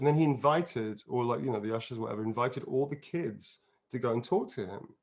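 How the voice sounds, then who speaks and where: Speaking at a fairly quick pace, a man with an English accent uses lively intonation. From England, outside London. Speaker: actor and voice performer. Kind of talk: casual interview chat. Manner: animated.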